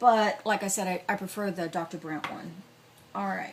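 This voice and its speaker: Noticeable background noise accompanies a woman talking at medium pitch with ordinary pitch variation. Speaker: beauty vlogger and cosmetics store worker. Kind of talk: makeup tutorial. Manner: casual, hesitant with fillers.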